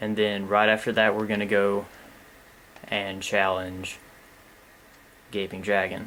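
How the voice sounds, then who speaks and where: Quiet and fairly slow, a man speaks with a bright, sharp tone, a fairly low pitch, monotone, flat intonation, and long, frequent pauses. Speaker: gaming commentator. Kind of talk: let's play commentary. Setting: at home late at night.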